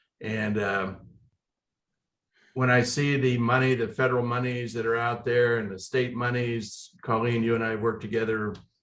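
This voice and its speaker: A man talks at a medium pitch in a flat, monotone delivery. There is audible echo from the room. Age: 70s. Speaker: city mayor. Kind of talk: panel discussion.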